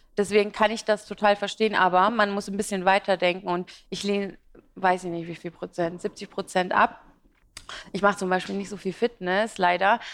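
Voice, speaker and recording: A woman talks at a moderate pace in a medium pitch with monotone, flat intonation. Her loudness swings widely. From Iraq, emigrated to Germany as a child. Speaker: fashion and beauty blogger. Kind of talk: interview at live business talk event. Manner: talkative, many fillers.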